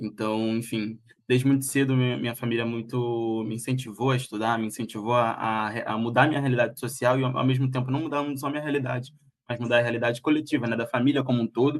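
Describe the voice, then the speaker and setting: Fairly even intonation at a fairly quick pace. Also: man. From Brazil, Rio de Janeiro (Rocinha). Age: 20s. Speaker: live stream guest telling life story. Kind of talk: interview on a live stream. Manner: halting, many fillers and restarts.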